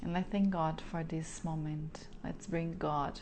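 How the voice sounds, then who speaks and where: A dark, mellow voice with a non-native accent delivers flat, monotone speech in a room with audible echo. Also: woman. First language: Portuguese. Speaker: spiritual wellness coach. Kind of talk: prayer. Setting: live stream. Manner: halting.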